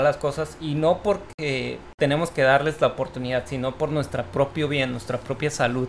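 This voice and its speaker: A normal speaking voice moves at a moderate pace with fairly even intonation. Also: man. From Mexico, Tijuana. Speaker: podcast host. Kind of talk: casual chat.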